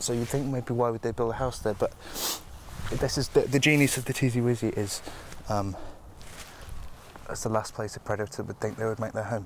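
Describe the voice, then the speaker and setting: A man speaks quietly with fairly even intonation. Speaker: field guide in a comedy mockumentary. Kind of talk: mock documentary field presenting. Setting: outdoors in woodland. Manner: hushed, quiet voice; hesitant, with fillers and repeats.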